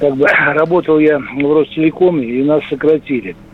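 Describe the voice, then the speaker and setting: Over noticeable background noise, a man talks at a fairly high pitch with fairly even intonation. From Russia, Saratov. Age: 60s. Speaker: caller. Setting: phone call.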